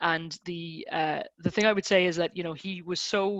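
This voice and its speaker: A woman talks fairly quickly in a fairly low pitch, with an Irish accent. Her intonation stays flat and monotone. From Ireland. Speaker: design consultancy director. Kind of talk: online webinar interview. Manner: hesitant, many repetitions.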